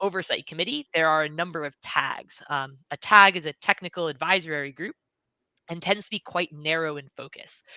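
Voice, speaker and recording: Speaking at a moderate pace with an American accent, a woman has a fairly low pitch and a bright, sharp tone, recorded with a dry, close sound with no echo and a quiet background. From United States. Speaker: software engineer. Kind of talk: livestream interview.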